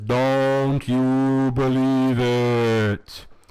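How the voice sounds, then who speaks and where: This put-on character voice sits at a low-to-middle pitch, delivered in a monotone, flat intonation. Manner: ghostly.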